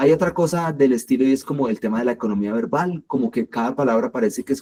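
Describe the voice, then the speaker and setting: A man with a strong Colombian accent talks at a fairly quick pace in a dark, mellow tone, his sound dry and close with no echo. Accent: strong paisa accent, marked s. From Colombia, Medellín. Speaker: creative writing workshop leader. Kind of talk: workshop lecture. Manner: hesitant, many fillers.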